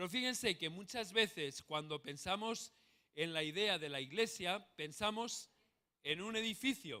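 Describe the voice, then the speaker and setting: A man speaks with a bright, sharp tone. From Spain. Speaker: pastor. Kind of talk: sermon.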